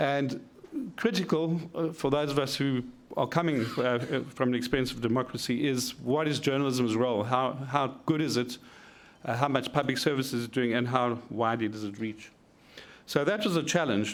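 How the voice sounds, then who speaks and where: The speech moves at a moderate pace, and audible room echo surrounds it. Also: man, medium pitch for a man, ordinary pitch variation. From South Africa. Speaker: media researcher. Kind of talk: conference presentation.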